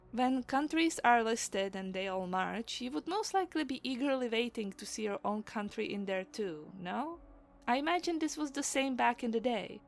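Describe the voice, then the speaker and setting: A woman's high voice with very wide pitch swings at a moderate pace. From Czech Republic. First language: Czech. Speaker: illustrator and mythology storyteller. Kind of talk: narrated summary. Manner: casual, conversational.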